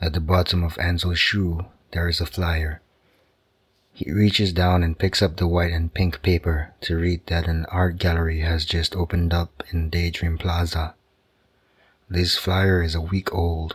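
Over a silent background in a very clean recording, a man with a very deep, low pitch speaks fairly slowly in a gentle, somewhat breathy tone, with monotone, flat intonation. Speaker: sleep story narrator. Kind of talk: bedtime story narration. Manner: slow, calm, soothing; gentle, soft-spoken, even.

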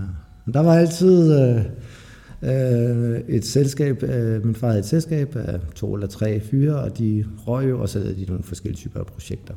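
A man's dark, mellow, somewhat breathy voice at medium pitch, with lively intonation and a fairly slow pace. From Denmark, Lolland. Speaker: recovering addict. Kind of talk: testimony. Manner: halting.

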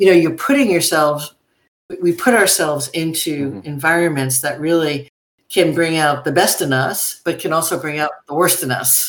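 An ordinary speaking voice comes from a woman with an American accent. Her pitch is fairly low, her pace moderate, and her pitch variation ordinary. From US Northeast, New York City. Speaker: university president. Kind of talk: interview.

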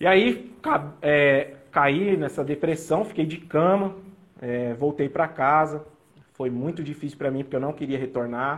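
A man's fairly high pitch with ordinary pitch variation at a fairly slow pace. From Brazil, São Paulo then Mato Grosso do Sul. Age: 30s. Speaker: nurse and police recruit. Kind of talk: personal testimony. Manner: halting. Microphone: audio feedback, echo.

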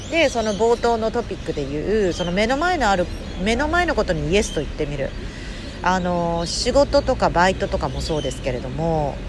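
Speaking at a moderate pace, a woman is heard over clearly audible background noise. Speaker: podcast host and intercultural communication coach. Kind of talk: casual podcast monologue. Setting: outdoors.

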